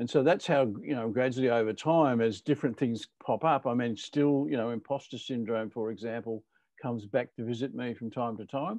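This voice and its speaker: Recorded dry and close with no echo against a quiet background, a man uses a normal speaking voice at a moderate pace with ordinary pitch variation. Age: 60s. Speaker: leadership author, conversation host. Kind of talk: casual chat.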